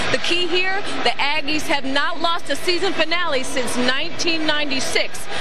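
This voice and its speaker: Loud background noise fills the clip. The sound itself is dry, without any echo. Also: woman. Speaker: sideline reporter. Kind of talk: sideline reporting and interviews. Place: stadium. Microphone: handheld.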